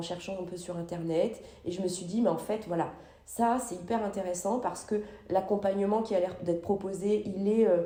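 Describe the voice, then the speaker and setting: A woman talks at a moderate pace with fairly even intonation. Noticeable background noise and audible room echo fill the recording. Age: 40s. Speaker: psychologist. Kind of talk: interview. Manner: halting, many fillers.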